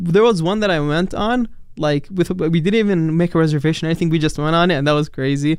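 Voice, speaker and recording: A man with an Arabic accent talks very fast in a high voice, keeping his loudness very even and his pitch variation ordinary. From Palestine, later New York and Dubai. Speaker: international college student. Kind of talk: casual interview. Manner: hesitant, with fillers.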